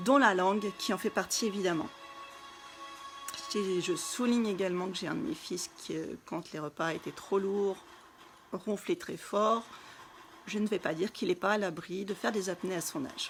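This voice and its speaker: A woman's medium-pitched voice at a moderate pace, ordinary pitch variation and long, frequent pauses, with music in the background. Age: 30s. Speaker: wellness coach. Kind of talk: live stream talk. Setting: live video stream.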